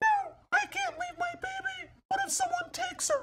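The voice is a cartoonish character voice. It moves at a moderate pace. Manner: excitable, whiny, loud.

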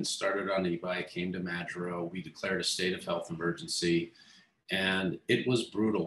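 There is audible room echo. Through it, a man can be heard talking. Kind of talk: interview answer. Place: office. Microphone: video call.

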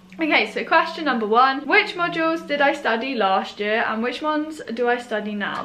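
Raising and projecting her voice, a woman speaks at a moderate pace with very wide pitch swings over light background noise. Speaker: university student vlogger. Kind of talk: casual vlog chat. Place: home room. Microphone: camera far.

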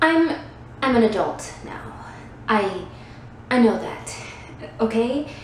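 Over light background noise, a woman talks at a very slow pace. Room echo is audible. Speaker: actor performing a monologue. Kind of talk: dramatic monologue. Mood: anxious, self-deprecating. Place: empty room. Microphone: phone near.

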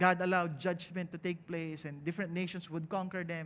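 Here a man talks with a high pitch. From Philippines. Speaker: pastor. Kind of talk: sermon. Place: stage. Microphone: headset.

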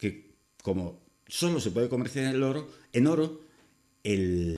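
The speaker is a man. His intonation is lively over a quiet background. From Spain. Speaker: YouTuber. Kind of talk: opinion monologue. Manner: casual. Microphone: webcam.

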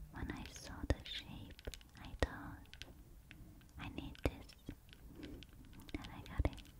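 A woman whispers at a very slow pace in a gentle tone, with long, frequent pauses. Her loudness swings widely. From Hungary. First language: Hungarian. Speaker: ASMR creator. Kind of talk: ASMR ramble to camera. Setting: indoors near a busy road. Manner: whispered, soft, gentle. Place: home room. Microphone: studio mic.

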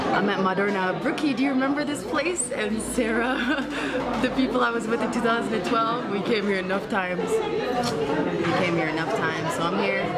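A woman at a moderate pace, with crowd noise in the background. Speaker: travel vlogger. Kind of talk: casual vlog chat. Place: cafe. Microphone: phone near.

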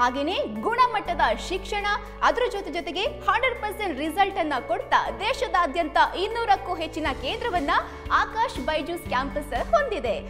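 Extremely high-pitched woman with very wide pitch swings and clear music in the background. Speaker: interviewer, show host. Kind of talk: presenter introduction to camera. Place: classroom. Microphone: handheld.

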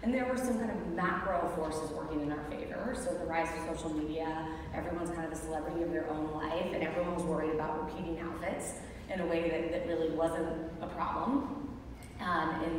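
Strong room echo and noticeable background noise fill the recording. A woman with a fairly low pitch and ordinary pitch variation talks at a fairly quick pace. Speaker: panelist. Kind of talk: interview answer. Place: stage.

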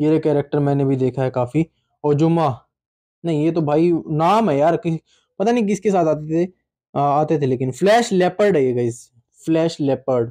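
A man's fairly high voice with a dark, mellow tone, ordinary pitch variation, very even loudness, a moderate pace and long, frequent pauses, over a quiet background. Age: 20s. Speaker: toy unboxing YouTuber. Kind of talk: casual unboxing video. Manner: animated. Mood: nostalgic, cheerful. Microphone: phone near.

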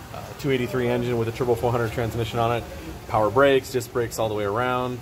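The speech comes at a very fast pace in a flat monotone, with noticeable background noise. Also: man. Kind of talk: casual walkaround commentary. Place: garage. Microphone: phone near.

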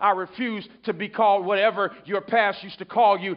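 Against a quiet background, a high-pitched man talks at a moderate pace in an animated tone, with ordinary pitch variation. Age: 30s. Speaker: pastor. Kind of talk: sermon. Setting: church. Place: church.

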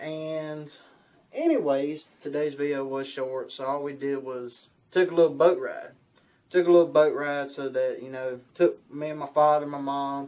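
With monotone, flat intonation, the man talks at a moderate pace. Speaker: outdoor channel vlogger. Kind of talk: casual vlog chat. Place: home room.

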